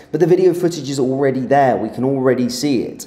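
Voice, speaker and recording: Noticeable background noise sits behind a man's voice. He speaks at a fairly quick pace. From southern England, Surrey. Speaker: political commentator. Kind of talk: live stream commentary. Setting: live stream. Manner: casual, hesitant with fillers.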